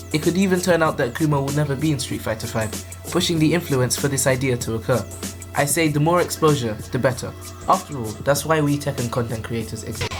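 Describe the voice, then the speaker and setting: Over music in the background, a man speaks at a very fast pace with lively intonation and a fairly high pitch. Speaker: gaming commentary YouTuber. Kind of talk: casual video game commentary.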